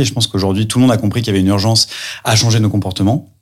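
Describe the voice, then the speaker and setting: Fairly even intonation marks a man's fairly low-pitched voice. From France, Lyon. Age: 30s. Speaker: entrepreneur. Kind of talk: interview. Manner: hesitant with fillers.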